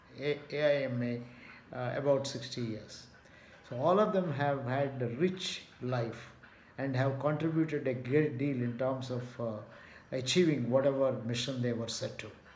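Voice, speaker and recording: Audible room echo surrounds the voice. It belongs to a man speaking at a medium pitch. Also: ordinary pitch variation, moderate pace. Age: 70s. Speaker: retired management professor. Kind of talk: video talk. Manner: measured with frequent fillers.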